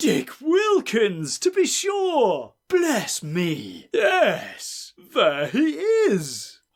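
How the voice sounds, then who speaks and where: In a put-on character voice, a man talks at a very slow pace with hardly any pauses on a very clean recording with a silent background. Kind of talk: comic overacting. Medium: read story. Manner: crude, tetchy.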